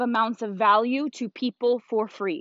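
A woman's fairly high, animated voice with ordinary pitch variation. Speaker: podcast host and network marketer. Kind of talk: motivational solo talk. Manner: loud.

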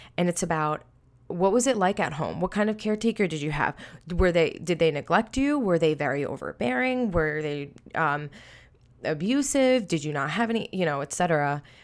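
With a New York accent, a woman speaks at a fairly quick pace, her pitch swinging very widely, in a very clean recording with a silent background. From Long Island, New York. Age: 20s. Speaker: podcast host. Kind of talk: solo personal testimony. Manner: casual, filler-heavy.

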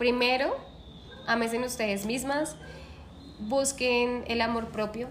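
Amid noticeable background noise and audible room echo, a woman with a high pitch speaks very slowly with fairly even intonation and long, frequent pauses. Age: 20s. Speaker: dancer and choreographer. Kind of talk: casual interview chat.

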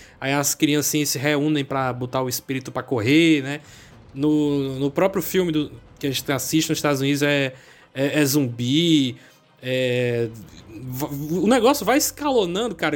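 A man with a fairly high pitch talks at a moderate pace in an unremarkable speaking voice. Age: 20s. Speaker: podcast host. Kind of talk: casual chat.

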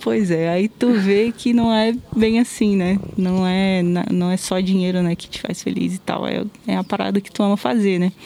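A plain, everyday voice from a woman, medium-pitched, moderate in pace, ordinary in pitch variation. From Brasília, Brazil. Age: 20s. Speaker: video creator. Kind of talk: casual interview. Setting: outdoors, masked.

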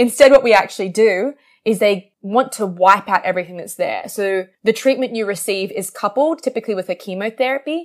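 With an Australian accent, a woman with a fairly high pitch talks at a fairly quick pace with hardly any pauses, ordinary pitch variation and big swings in loudness, on a very clean recording with a silent background. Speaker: PhD researcher in stem cells. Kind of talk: podcast interview. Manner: animated.

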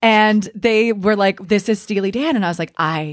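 With a plain, everyday voice, a woman talks at a moderate pace with ordinary pitch variation. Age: 20s. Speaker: podcast co-host. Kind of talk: casual chat.

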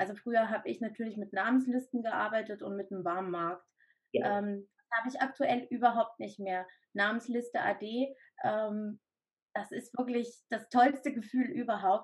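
Her voice fairly high and somewhat breathy, a woman talks at a moderate pace with ordinary pitch variation. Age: 30s. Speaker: direct sales entrepreneur, mother of three. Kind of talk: interview testimony.

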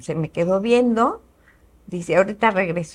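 A woman's plain, everyday voice, medium in pitch, with lively intonation and a moderate pace. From Mexico, Querétaro. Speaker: businesswoman. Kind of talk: interview.

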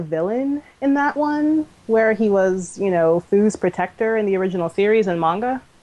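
A woman with an American accent speaks in a dark, mellow tone at a fairly high pitch, her intonation lively and her loudness very even. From Maryland, DC area. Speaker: cosplayer. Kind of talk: casual chat.

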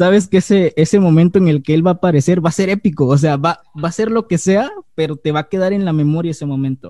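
A man with a Mexican accent and a high pitch talks at a very fast pace in a dark, mellow tone with ordinary pitch variation, in a dry, close sound with no echo. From Mexico, Acapulco, Guerrero. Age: 20s. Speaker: youtuber. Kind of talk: casual chat.

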